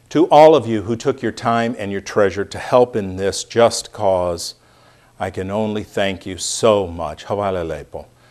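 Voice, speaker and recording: With an American accent and an ordinary speaking voice, a man talks at a fairly slow pace in a fairly low pitch, with ordinary pitch variation and big swings in loudness. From United States. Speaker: speaker at a community reception. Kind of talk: speech.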